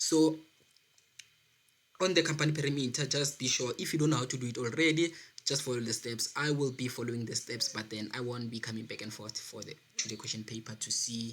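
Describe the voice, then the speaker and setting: Fairly even intonation in a man's medium-pitched voice. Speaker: accounting tutor on a video channel. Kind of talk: tutorial. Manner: fast.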